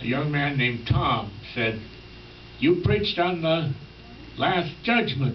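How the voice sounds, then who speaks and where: Over noticeable background noise and audible room echo, a man speaks fairly slowly in a fairly high pitch with lively intonation. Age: 90s. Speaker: retired minister. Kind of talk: sermon. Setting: health center chapel.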